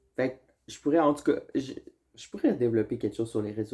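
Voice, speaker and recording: This is a man speaking. He has a Quebec accent. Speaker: vlogger. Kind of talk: casual chat.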